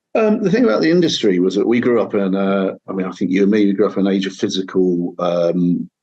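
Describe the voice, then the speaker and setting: Talking at a very fast pace with hardly any pauses, a man with a fairly low pitch and a dark, mellow tone keeps his intonation fairly even. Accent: Manchester. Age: 50s. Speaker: singer-songwriter and guitarist. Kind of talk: interview conversation. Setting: home kitchen, remote call.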